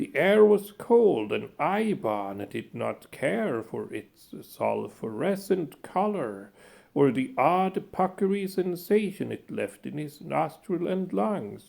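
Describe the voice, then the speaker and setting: A man puts on a character voice at a high pitch. He goes at a fairly slow pace, with hardly any pauses. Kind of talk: classic horror narration. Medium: read story. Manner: measured, ornate, dryly ironic.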